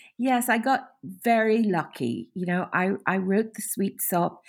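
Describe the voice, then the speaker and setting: A woman talks fairly slowly, her pitch varying in an ordinary way, on a very clean recording with a silent background. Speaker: novelist. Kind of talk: interview. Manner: expressive reading.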